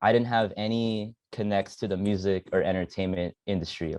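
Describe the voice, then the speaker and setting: At a fairly quick pace, a man with an American accent and a fairly low pitch speaks with fairly even intonation in a dry, close sound with no echo. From San Fernando Valley, Los Angeles, California. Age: 20s. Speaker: music producer and artist. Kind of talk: casual interview.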